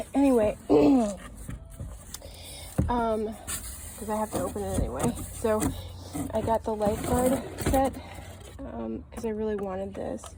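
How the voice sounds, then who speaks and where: With noticeable background noise behind her, a woman speaks at a moderate pace, leaving long, frequent pauses. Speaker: doll unboxing youtuber. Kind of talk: casual unboxing vlog. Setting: outdoors. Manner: halting, many fillers.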